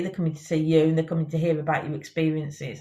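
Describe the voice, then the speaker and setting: Here is a woman with a Birmingham accent. Her pitch sits fairly low. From Birmingham, England. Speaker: company CEO and founder. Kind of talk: interview. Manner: hesitant, many fillers.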